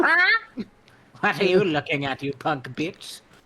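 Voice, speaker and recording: Someone does a squeaky put-on character voice at a middle pitch and a moderate pace. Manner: goofy.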